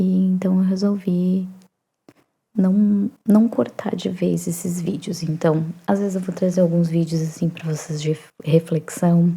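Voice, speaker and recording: A soft-spoken woman talks in a calm, somewhat breathy tone. Her pitch is fairly low and her intonation fairly even. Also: fairly slow pace. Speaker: psychoanalyst and writer. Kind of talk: soft-spoken ASMR reflective talk. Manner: soft-spoken, calm.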